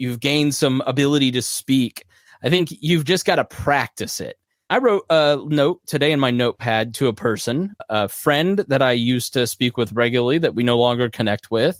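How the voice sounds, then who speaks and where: Recorded very cleanly against a silent background, with a dry, close sound and no echo, a man of medium pitch has an unremarkable speaking voice, ordinary pitch variation, and a moderate pace. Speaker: podcast host and consultant. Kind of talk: live Q&A monologue.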